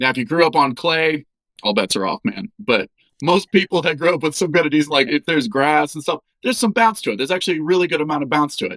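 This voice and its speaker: Lively in intonation, a man talks at a very fast pace with a dry, close sound that has no echo. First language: German. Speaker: doctor giving health advice. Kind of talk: podcast interview, explaining. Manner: conversational, with filler words.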